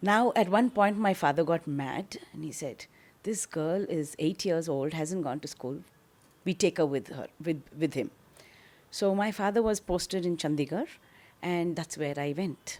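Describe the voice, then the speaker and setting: With a South Indian accent, a woman speaks at a fairly slow pace in a fairly low pitch, her intonation lively. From South India, Bangalore. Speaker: social activist. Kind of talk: interview storytelling.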